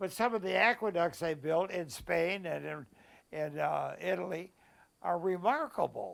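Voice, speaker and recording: On a very clean recording with a silent background, a man with a high voice speaks at a fairly slow pace with ordinary pitch variation. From US Midwest, Joliet, Illinois. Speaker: war veteran. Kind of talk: interview. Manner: halting.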